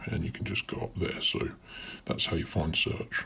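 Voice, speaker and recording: A man speaks in a British accent. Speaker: YouTuber. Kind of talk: tutorial. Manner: casual.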